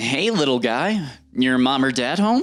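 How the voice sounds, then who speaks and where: A man at medium pitch speaks in a put-on character voice. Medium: read story. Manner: calm, flat, cunning.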